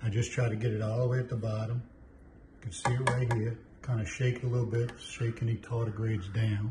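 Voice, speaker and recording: Over noticeable background noise, a somewhat breathy man talks at a fairly quick pace with fairly even intonation. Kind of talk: tutorial. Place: kitchen.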